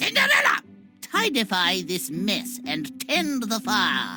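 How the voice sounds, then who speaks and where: A woman puts on a cartoonish character voice, fairly high in pitch and fairly slow in pace. Clear music plays in the background. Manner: haughty, mangled pompous words.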